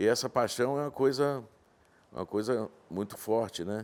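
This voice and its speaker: Ordinary pitch variation from a man with an ordinary speaking voice. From Brazil, Minas Gerais (Vale do Rio Doce), raised in Espírito Santo from childhood. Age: 60s. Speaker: horse breeder and rancher. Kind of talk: interview.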